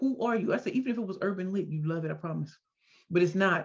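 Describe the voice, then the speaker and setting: An animated woman's voice, bright and sharp in tone, medium in pitch with ordinary pitch variation. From US Midwest, St. Louis, Missouri. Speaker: entrepreneur and speaker. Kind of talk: interview. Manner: fast.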